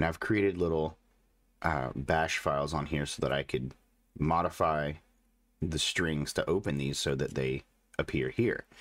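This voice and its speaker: Over a very clean recording with a silent background, a man with a very deep, low pitch and vocal fry speaks at a moderate pace, keeping his loudness very even, his pitch variation ordinary and his pauses long and frequent. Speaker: tech reviewer. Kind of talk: video tech review/demo. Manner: casual, explanatory.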